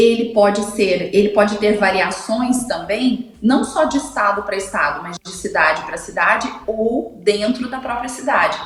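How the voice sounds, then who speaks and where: A woman at a fairly slow pace with hardly any pauses, ordinary pitch variation and big swings in loudness, amid noticeable background noise and audible room echo. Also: fairly high pitch for a woman. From Brazil, Goiás (Goiânia). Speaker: speech therapist, communication columnist. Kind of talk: radio interview column.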